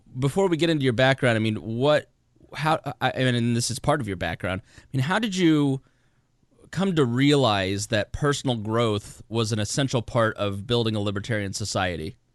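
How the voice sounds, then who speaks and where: A man with an Indiana accent at medium pitch, lively intonation, and a moderate pace, over a quiet background. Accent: Hoosier (Indiana). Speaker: podcast host. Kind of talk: interview conversation.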